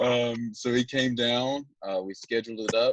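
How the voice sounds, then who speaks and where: In a Southern US accent, a man talks at a moderate pace, the sound dry and close with no echo. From Alabama. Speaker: sports recruiting social media commentator. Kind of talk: podcast interview. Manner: hesitant, many fillers.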